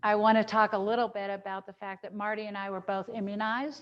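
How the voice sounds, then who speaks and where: At a fairly quick pace, a woman speaks in a normal speaking voice of medium pitch against a quiet background. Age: 60s. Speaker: dietitian teaching a cooking class. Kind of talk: virtual cooking class and health talk. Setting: video call.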